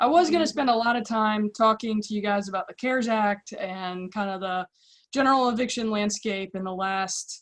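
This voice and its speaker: At a moderate pace, a woman with a fairly high pitch talks with ordinary pitch variation and big swings in loudness over a quiet background. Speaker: attorney. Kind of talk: presentation.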